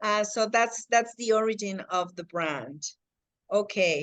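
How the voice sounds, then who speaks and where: A slight Mexican accent colors this voice, whose pitch varies in an ordinary way. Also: woman. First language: Spanish. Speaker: real estate agent. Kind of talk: casual chat. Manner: halting.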